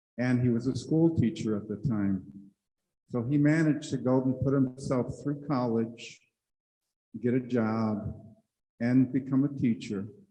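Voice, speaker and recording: Dark and mellow in tone, the voice moves at a fairly slow pace with long, frequent pauses and audible room echo. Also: man, medium pitch for a man. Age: 70s. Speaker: panelist sharing personal story. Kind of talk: personal testimony on a conference panel. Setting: conference room with audience.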